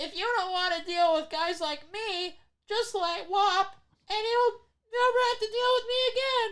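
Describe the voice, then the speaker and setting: This put-on character voice is extremely high-pitched and nasal. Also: moderate pace. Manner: cocky, taunting.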